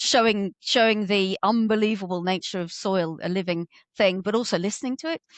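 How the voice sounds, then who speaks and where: A woman with a normal speaking voice at a medium pitch. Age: 50s. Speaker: ecologist. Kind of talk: casual chat.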